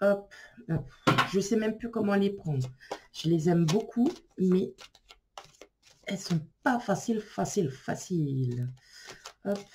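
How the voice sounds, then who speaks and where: Speaking very slowly with long, frequent pauses, a woman uses a medium pitch that moves through very wide swings. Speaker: tarot card reader. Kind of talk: tarot reading video. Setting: filmed on camera. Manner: casual, hesitant with fillers.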